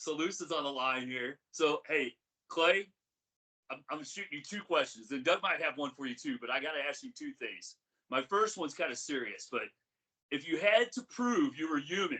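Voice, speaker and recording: A man speaks loudly, with lively intonation. His pace is moderate. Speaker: podcast co-host. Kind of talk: casual chat.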